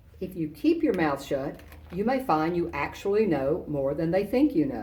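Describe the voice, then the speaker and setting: Somewhat breathy with a dark, mellow tone, a woman speaks at a fairly low pitch and a moderate pace, her pitch swinging very widely amid audible room echo. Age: 60s. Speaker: retired army general, guest speaker. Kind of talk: commencement speech. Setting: virtual ceremony. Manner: formal.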